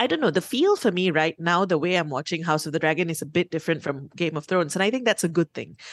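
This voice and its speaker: Speaking at a very fast pace, a woman with fairly low pitch and ordinary pitch variation comes through with a dry, close sound and no echo. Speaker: radio host. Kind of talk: casual chat.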